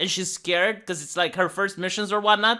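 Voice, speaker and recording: An animated tone with a non-native accent, on a very clean recording with a silent background. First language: not English. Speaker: YouTube commentator. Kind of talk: casual commentary rant. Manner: halting, many repetitions.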